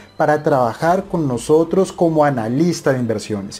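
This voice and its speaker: A dark, mellow male voice at a moderate pace. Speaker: investment channel host. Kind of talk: casual vlog chat. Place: office. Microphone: lapel.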